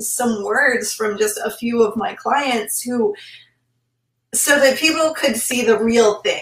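A woman with a high pitch speaks at a fairly slow pace with lively intonation. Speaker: trauma transformation coach and podcast host. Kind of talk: interview and coaching talk. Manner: soft-spoken.

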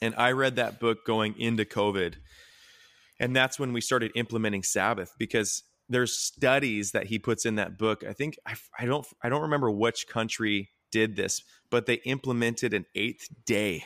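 A man with an unremarkable speaking voice at medium pitch, moderate pace and fairly even intonation, on a very clean recording with a silent background and a dry, close sound with no echo. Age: 20s. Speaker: former youth pastor, mental health nonprofit founder. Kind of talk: casual chat.

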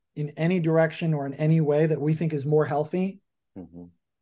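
A man with an American accent. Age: 40s. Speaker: political journalist and author. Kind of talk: interview.

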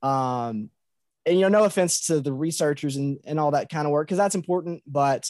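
In a dry, close sound with no echo, a man with a Kentucky Appalachian accent speaks with ordinary pitch variation. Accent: Kentucky Appalachian drawl. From Muhlenberg County, Kentucky. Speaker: middle school teacher and writer. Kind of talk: casual interview chat.

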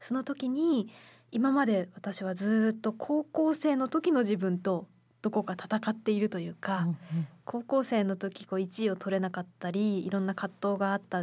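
A woman with a fairly high, somewhat breathy voice talks at a moderate pace with lively intonation in a very clean recording with a silent background. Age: 20s. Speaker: radio co-host and essay writer. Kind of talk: casual chat.

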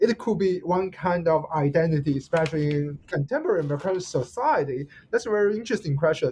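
A man with a Chinese accent and a high pitch speaks at a very fast pace with hardly any pauses, using lively intonation in a dark, mellow tone. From China. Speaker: podcast host. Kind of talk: interview questions. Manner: halting, self-correcting.

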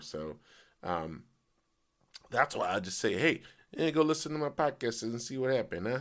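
A man's raspy, put-on character voice at medium pitch, moderate in pace, with very wide pitch swings and long, frequent pauses. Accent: Italian. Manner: playful, comic.

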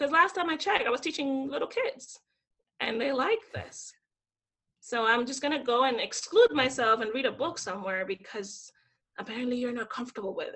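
The delivery is animated and fairly quick, with lively intonation and big swings in loudness. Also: woman, high pitch for a woman. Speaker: former teacher in Japan. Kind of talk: casual interview chat.

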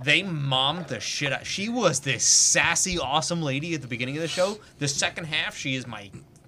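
Someone talks at a fairly quick pace with lively intonation against noticeable background noise. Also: man, fairly high pitch for a man. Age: 30s. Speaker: podcast co-host. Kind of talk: casual chat. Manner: animated.

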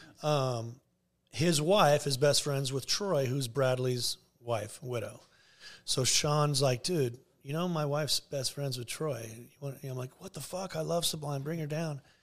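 A man with an American accent speaks at a fairly high pitch, his voice somewhat breathy. His pitch varies in an ordinary way. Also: fairly slow pace. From Southern California (Garden Grove). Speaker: clothing company co-founder. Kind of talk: casual interview chat.

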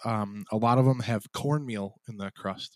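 A man with an American accent speaks at a moderate pace and medium pitch with fairly even intonation, in a dry, close sound with no echo. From Chicago area, US Midwest. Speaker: podcast host. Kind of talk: casual chat.

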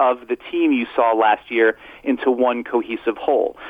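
A man talks with very wide pitch swings. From Brooklyn, New York. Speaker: basketball writer. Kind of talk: radio sports interview.

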